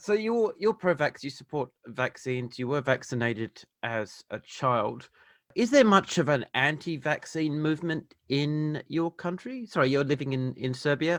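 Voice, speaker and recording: A man with an Australian accent speaks at a moderate pace with hardly any pauses, his fairly high voice full of lively intonation. The sound is dry and close with no echo, against a quiet background. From Western Australia, Perth. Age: 40s. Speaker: podcast host. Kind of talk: interview.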